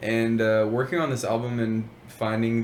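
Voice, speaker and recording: The man's pitch is fairly low and his intonation monotone and flat. He speaks at a fairly slow pace with audible room echo. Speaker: rapper. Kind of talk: interview.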